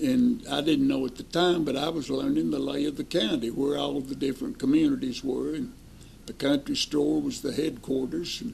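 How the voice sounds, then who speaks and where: In an East Tennessee accent, a man talks at a moderate pace. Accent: Southern US (East Tennessee). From US South. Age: 80s+. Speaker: retired bank president. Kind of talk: interview reminiscence.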